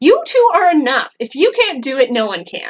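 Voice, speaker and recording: A woman uses a put-on character voice, pitched high. She moves at a moderate pace with very wide pitch swings. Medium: read story. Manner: rude, complaining.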